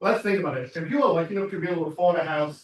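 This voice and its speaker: A man with an American accent speaks at a high pitch. His pitch varies in an ordinary way. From England, former mining town. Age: 30s. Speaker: political candidate speaking at party meeting. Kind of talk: campaign speech. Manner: animated.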